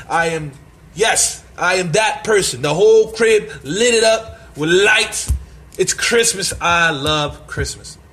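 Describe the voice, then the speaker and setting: Animated male speech over noticeable background noise. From Brooklyn, New York City. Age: 30s. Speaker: podcaster. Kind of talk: casual monologue.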